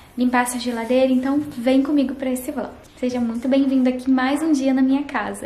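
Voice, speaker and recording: A woman with a high voice talks at a moderate pace over background music, with audible echo in the room. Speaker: home vlogger. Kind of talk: casual vlog chat. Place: kitchen. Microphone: phone near.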